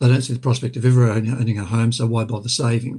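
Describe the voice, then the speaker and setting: Somewhat breathy and dark, mellow in tone, a man with an Australian accent talks at a medium pitch. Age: 60s. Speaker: former mental health commissioner, lawyer. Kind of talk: webinar panel talk. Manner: halting, many fillers.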